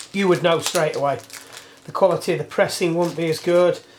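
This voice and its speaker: The speaker has an English accent. There is noticeable background noise. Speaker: bike mechanic. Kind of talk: workshop tutorial. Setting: workshop. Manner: loud.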